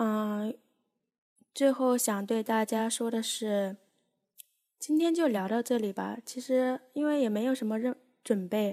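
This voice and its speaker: At a fairly slow pace with long, frequent pauses, a woman speaks in a dark, mellow tone at a fairly high pitch with ordinary pitch variation. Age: young. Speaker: amateur podcast host. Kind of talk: casual solo chat. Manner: unscripted, hesitant with many fillers.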